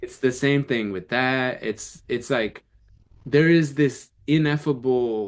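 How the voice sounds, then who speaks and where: A man talks at a very slow pace with an American accent. His medium pitch shows ordinary variation. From US Midwest, Illinois. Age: 40s. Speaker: sociology teacher and Zen practitioner. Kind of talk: casual podcast conversation.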